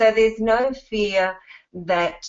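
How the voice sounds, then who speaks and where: A woman talks with an Australian accent. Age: 50s. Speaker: network marketing distributor. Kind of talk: testimonial presentation.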